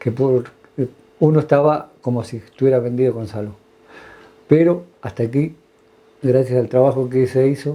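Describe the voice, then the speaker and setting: A man speaks at medium pitch and a moderate pace with fairly even intonation. Long, frequent pauses break up his speech. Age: 60s. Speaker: retired health worker. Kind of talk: interview testimony. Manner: halting, many fillers.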